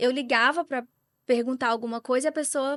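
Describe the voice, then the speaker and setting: A woman talks at a high pitch with a Brazilian accent. The background is quiet. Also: dry, close sound with no echo. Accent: Brazilian accent when speaking English. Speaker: real estate agent. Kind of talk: podcast interview. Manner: conversational.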